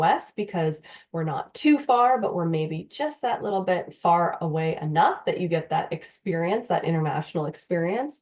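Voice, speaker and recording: A woman's medium-pitched voice at a moderate pace, with very wide pitch swings and a slight Canadian accent. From Canada, Windsor, Ontario. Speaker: university recruitment manager. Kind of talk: presentation.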